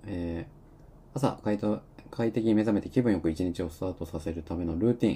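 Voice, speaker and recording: Speaking at a fairly quick pace, a man uses a very deep, low pitch, his somewhat breathy voice showing ordinary pitch variation. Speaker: live-stream talk host. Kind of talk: casual live talk reading listener comments. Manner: filler-heavy, rambling delivery.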